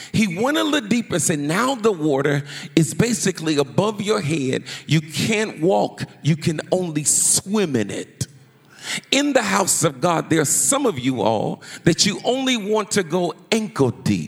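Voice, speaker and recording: A man's high-pitched, animated voice at a fairly slow pace, with very wide pitch swings and noticeable background noise. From United States. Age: 50s. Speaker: pastor. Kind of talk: sermon.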